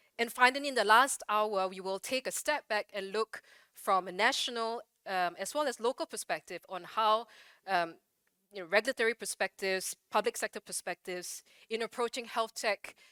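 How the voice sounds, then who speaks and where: A woman's bright, sharp tone comes through on a very clean recording with a silent background. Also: fairly high pitch for a woman, ordinary pitch variation, dry, close sound with no echo. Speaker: event moderator. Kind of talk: event moderation. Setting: conference stage with audience. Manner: fast.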